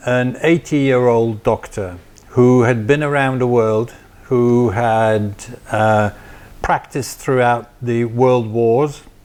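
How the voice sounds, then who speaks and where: A man speaks with a Flemish accent at a medium pitch. His intonation stays fairly even. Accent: Belgian (Flemish-Dutch) accent in English. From Belgium. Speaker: former family doctor. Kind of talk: interview.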